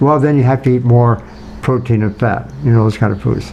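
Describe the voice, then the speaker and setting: This man's voice sits at a medium pitch. Noticeable background noise runs throughout. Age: 80s+. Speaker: nutrition scientist. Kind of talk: interview. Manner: halting.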